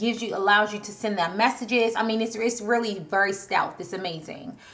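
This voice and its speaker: An animated, bright, sharp tone comes at a fairly quick pace with audible room echo. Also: woman. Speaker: online marketing coach. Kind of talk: tutorial. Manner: fast.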